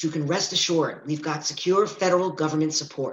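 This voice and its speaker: A man speaks at a very fast pace. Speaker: mayor character. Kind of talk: audio drama period dialogue, public speech. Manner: bombastic, bustling, upbeat and brash.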